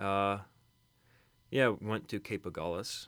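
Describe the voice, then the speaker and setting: On a very clean recording with a silent background, a man with an American accent speaks fairly slowly in a very deep, low voice with fairly even intonation. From Kentucky, US. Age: young. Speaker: college student. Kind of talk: casual chat.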